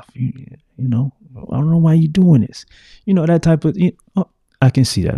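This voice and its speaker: Somewhat breathy and dark, mellow in tone, a man's voice swings very widely in pitch, recorded dry and close with no echo. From US South. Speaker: podcast host. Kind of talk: solo podcast monologue. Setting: home studio with mic and video.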